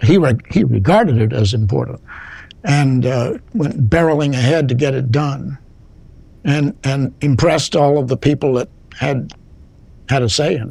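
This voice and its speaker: A man's somewhat breathy, fairly high-pitched voice with a dark, mellow tone, lively intonation and a moderate pace. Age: 80s+. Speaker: retired lawyer, law school alumnus. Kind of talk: interview. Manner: halting.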